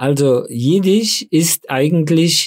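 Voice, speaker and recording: Nothing but silence surrounds this man in a very clean recording. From Frankfurt, Hesse (childhood in DP camp near Munich). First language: Yiddish (speaking German). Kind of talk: interview. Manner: hesitant with fillers.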